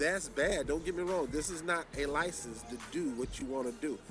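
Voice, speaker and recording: A man speaks at a moderate pace with a Southern US accent and ordinary pitch variation. There is noticeable background noise and audible room echo. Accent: Southern US country. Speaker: television preacher. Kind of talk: sermon. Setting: outdoors in a park.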